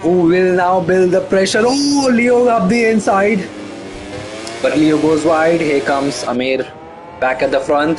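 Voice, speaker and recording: A man with a non-native accent and a high voice talks fairly slowly with very wide pitch swings and very even loudness, amid noticeable background noise and audible room echo. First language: not English. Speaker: esports race commentator. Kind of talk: live commentary. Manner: animated.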